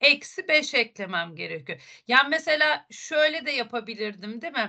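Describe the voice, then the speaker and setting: A woman speaks in a raised, projected voice with a bright, sharp tone. The background is quiet. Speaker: math teacher. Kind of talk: online lesson. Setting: video call. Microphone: video call.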